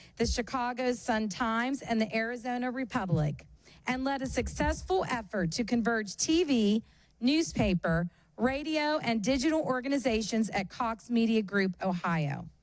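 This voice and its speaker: With lively intonation and very even loudness, a woman of fairly high pitch speaks at a moderate pace in a very clean recording with a silent background. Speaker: journalism program chair introducing a guest. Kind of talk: event introduction.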